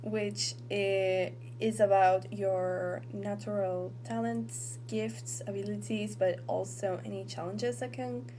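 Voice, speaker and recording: Over noticeable background noise, a woman with a very deep, low pitch talks at a very slow pace with lively intonation and hardly any pauses. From Argentina. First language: Spanish. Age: 20s. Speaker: tarot reader. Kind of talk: tarot reading talk to camera.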